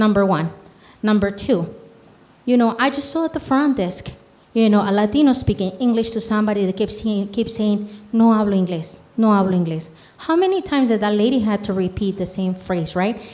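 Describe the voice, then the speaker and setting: A woman with a Mexican accent at a fairly quick pace and fairly high pitch. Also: ordinary pitch variation. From Mexico, Michoacán. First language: Spanish. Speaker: community health program leader. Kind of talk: panel discussion. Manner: animated.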